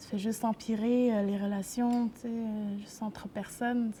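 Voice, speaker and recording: Somewhat breathy and dark, mellow in tone, a woman speaks in a fairly high pitch with monotone, flat intonation. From Quebec, grew up in a city. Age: 20s. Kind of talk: interview testimony. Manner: halting, many hesitations.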